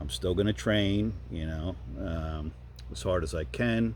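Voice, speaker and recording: A man's dark, mellow voice with vocal fry, lively intonation and a fairly slow pace, plus audible room echo. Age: 60s. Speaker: YouTuber and masters powerlifter. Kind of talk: casual vlog monologue. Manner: conversational with many fillers.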